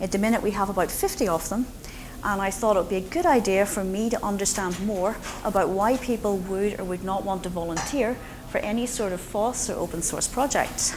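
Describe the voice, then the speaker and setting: With a strong Northern Irish accent, a woman speaks at medium pitch and a fairly quick pace with ordinary pitch variation, amid audible room echo and noticeable background noise. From Northern Ireland, Belfast. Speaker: conference speaker, open source foundation president. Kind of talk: conference talk. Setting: stage with audience.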